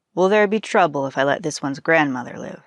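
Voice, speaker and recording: A woman puts on a raspy character voice, fairly low in pitch, and talks at a very fast pace. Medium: read story. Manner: grave, measured.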